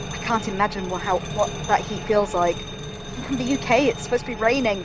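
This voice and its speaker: Over noticeable background noise, a woman speaks at a fairly high pitch with a northern English accent. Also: ordinary pitch variation, fairly quick pace. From northern England. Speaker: gaming streamer. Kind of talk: let's play commentary. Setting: home room while gaming. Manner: casual, chatty.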